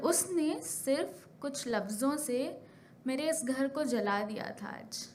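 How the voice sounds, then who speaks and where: A woman speaks with a high pitch. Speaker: spoken word poet. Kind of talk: spoken word poetry performance. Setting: live stage.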